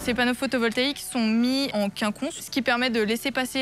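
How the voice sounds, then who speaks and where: A woman with an unremarkable speaking voice talks at a moderate pace, her fairly high pitch held in fairly even intonation. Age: 20s. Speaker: farmer. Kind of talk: interview. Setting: greenhouse.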